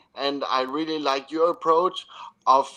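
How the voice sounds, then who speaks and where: Speaking fairly slowly with a German accent, a man with a fairly high voice uses a bright, sharp tone and fairly even intonation. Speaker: podcast host and football coach. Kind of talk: expert interview. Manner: halting.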